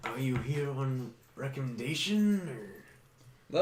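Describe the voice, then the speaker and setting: A man speaks in a put-on character voice at medium pitch. His pace is very slow. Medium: actual play. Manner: flustered, hesitant.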